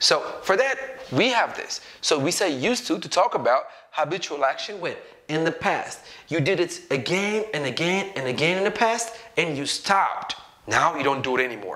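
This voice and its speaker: At a fairly quick pace, a man speaks with a high pitch and lively intonation against noticeable background noise. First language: Amharic. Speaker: English teacher. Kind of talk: tutorial. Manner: conversational, checks in with 'okay?' and 'right?'.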